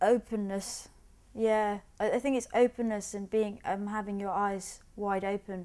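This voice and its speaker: With a London accent, a woman speaks at a medium pitch in a dark, mellow tone and monotone, flat intonation, on a very clean recording with a silent background. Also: fairly slow pace. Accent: British English (London). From England, British Bengali. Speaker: artist. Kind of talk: documentary interview. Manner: halting, with frequent repetitions.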